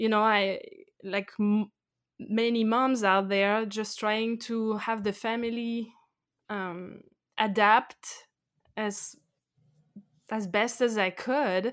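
Very slowly and in a flat monotone, a woman with a French accent speaks at a fairly high pitch, leaving long, frequent pauses in a very clean recording with a silent background. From France. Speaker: expat blogger. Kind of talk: interview.

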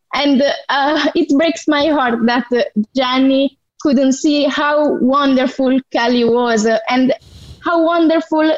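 A very slow pace in an Italian accent, with ordinary pitch variation. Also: woman. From southern Italy. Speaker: fan caller. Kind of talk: casual chat. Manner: halting.

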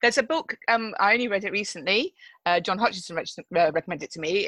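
A woman in a plain, everyday voice, fairly high in pitch with ordinary pitch variation, at a fairly quick pace, with a dry, close sound, no echo and a quiet background. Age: 50s. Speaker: head teacher. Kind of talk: casual interview. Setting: video call.

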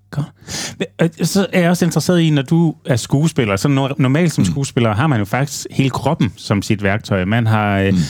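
This man's fairly high voice swings very widely in pitch while his loudness stays very even, and he speaks at a fairly slow pace. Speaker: podcast host. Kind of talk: casual interview. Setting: venue, recorded outside the studio.

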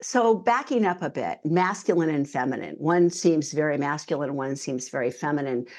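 A normal speaking voice with an American accent moves at a moderate pace, its intonation lively. The background is quiet. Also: woman. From US West Coast, Northern California. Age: 60s. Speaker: intuitive coach. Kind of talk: interview.

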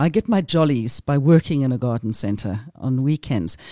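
With a South African accent and a dark, mellow tone, a woman is heard against a quiet background in a dry, close sound with no echo. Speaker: gardening show host. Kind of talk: radio chat. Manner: animated.

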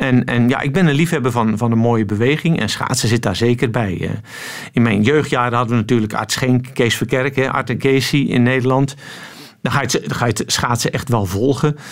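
Over noticeable background noise, a man speaks at a moderate pace with very even loudness and ordinary pitch variation. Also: medium pitch for a man. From Netherlands. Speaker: swimming coach. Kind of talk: radio interview.

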